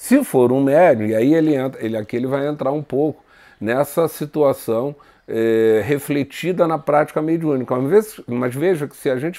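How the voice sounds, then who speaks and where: On a very clean recording with a silent background, a man with a fairly high pitch and a dark, mellow tone speaks at a moderate pace with lively intonation. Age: 60s. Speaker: spiritist lecturer. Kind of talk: spiritual lecture. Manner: halting.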